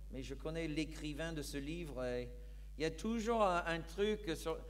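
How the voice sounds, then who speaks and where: A man talks at a fairly slow pace. Audible echo from the room surrounds his voice. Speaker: pastor. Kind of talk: sermon. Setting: church.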